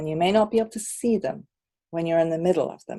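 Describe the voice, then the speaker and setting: Her tone dark and mellow, a woman speaks at a fairly low pitch with lively intonation. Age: 60s. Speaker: qigong teacher. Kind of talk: personal testimony.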